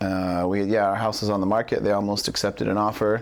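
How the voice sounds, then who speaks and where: With a West Coast accent, a man talks at a fairly quick pace in a fairly low voice. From Portland, Oregon. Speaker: salesperson. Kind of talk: casual interview.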